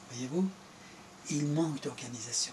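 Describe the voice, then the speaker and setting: Noticeable background noise under a man's fairly high voice, its pitch moving in an ordinary way. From Iran. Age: 70s. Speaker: former government minister. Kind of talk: political interview.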